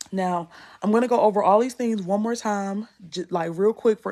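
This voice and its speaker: A woman talks fairly quickly in an American accent. Her tone is dark and mellow, her intonation fairly even. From US South, North Carolina (Rocky Mount). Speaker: content creation coach. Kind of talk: live masterclass / Q&A. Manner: casual, conversational.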